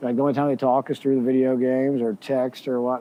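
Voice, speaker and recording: A man is speaking at a medium pitch. His pace is moderate. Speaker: golf course assistant manager. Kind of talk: casual chat. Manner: a little loud.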